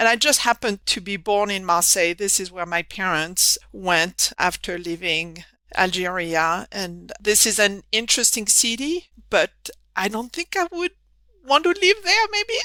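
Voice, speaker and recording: A woman speaks with a French accent and lively intonation. Her tone is bright and sharp. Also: medium pitch for a woman, fairly slow pace, dry, close sound with no echo. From southern France. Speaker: engineering professor. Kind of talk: podcast interview.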